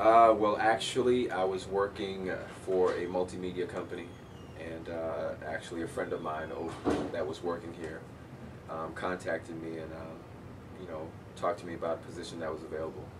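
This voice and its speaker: Speaking at a fairly quick pace, a man has a very deep, low pitch and fairly even intonation. Noticeable background noise and audible room echo surround him. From Cambridge, Massachusetts (born in Jamaica, left at six). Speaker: radio broadcaster and college media staff. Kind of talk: interview.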